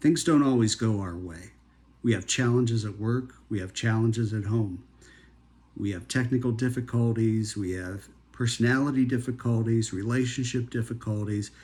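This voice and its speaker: Somewhat breathy and at a medium pitch, a man talks at a moderate pace with fairly even intonation on a very clean recording with a silent background. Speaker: healthcare professional. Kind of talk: motivational talk.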